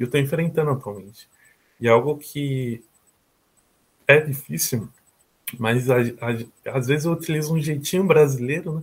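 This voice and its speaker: Pausing long and often, a man speaks at a fairly high pitch in a somewhat breathy voice with ordinary pitch variation. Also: moderate pace. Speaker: university student abroad. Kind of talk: interview testimony.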